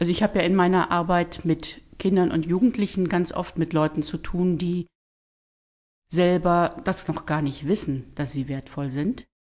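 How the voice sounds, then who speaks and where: A woman uses an unremarkable speaking voice, fairly low in pitch with ordinary variation, at a moderate pace. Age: 50s. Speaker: church leader and social worker. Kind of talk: casual interview, faith testimony.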